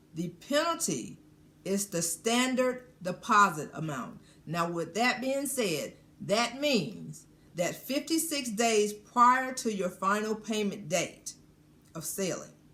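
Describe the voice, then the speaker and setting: Through noticeable background noise, a woman speaks very slowly at a fairly high pitch with very wide pitch swings. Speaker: cruise vlogger. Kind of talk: informational explainer. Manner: deliberately slowed down.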